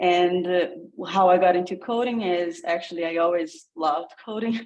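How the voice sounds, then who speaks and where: This speaker has a Brazilian accent and ordinary pitch variation. The pace is moderate. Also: woman. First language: Portuguese. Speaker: coding program participant. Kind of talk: casual self-introduction.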